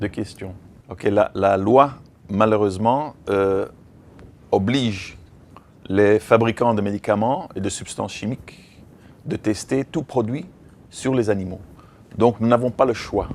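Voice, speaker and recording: A man with a non-native accent at a very slow pace, fairly low in pitch with ordinary pitch variation, big swings in loudness and long, frequent pauses. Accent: foreign accent in French. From Belgium, raised in Africa. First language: English (speaking French). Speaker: veterinarian and activist trainer. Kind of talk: lecture. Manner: halting.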